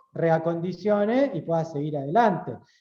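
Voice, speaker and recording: Audible room echo surrounds a man's dark, mellow tone. He speaks at a fairly slow pace. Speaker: lawyer and university lecturer. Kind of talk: lecture. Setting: auditorium talk, also streamed on video call.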